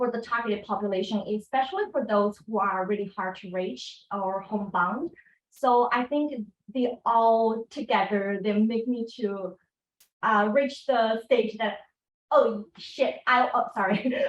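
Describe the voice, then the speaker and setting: Using ordinary pitch variation, a woman with a non-native accent speaks in a fairly high voice at a fairly slow pace. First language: not English. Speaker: PhD student panelist. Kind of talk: panel discussion.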